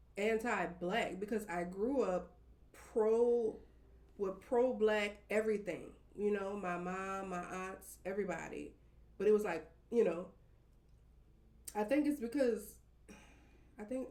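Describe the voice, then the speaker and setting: In a room with audible echo, a woman with a fairly high voice and a dark, mellow tone speaks at a fairly slow pace, with ordinary pitch variation, big swings in loudness, and long, frequent pauses. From New Orleans, Uptown. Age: 30s. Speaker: podcast guest. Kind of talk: casual chat.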